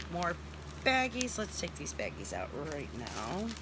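Fairly slow speech, dry with no echo, under loud background noise. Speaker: crafts hobby vlogger. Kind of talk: casual unboxing chat. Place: home room. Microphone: phone near.

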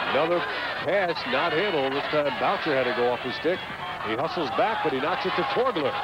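Loud background noise runs under the speech. The pace is fairly quick and the sound is dry with no echo. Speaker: play-by-play commentator. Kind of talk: live sports commentary, play-by-play. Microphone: headset.

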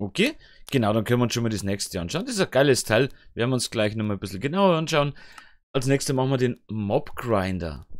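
Speaking in a medium pitch, a man rattles through his words at a very fast pace. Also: lively intonation. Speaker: gaming YouTuber. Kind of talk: let's play commentary. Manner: casual, self-talking.

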